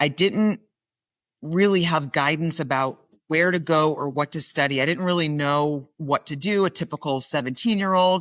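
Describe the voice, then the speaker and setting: A woman with an American accent has a very deep, low pitch and ordinary pitch variation. Her background is quiet. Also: moderate pace. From New York, Long Island. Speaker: crisis communications executive, former TV journalist. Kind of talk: interview.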